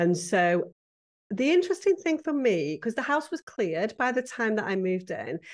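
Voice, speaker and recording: A woman with a British accent, fairly high in pitch, with very wide pitch swings and a fairly quick pace, against a quiet background. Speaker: professional home organizer. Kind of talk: interview.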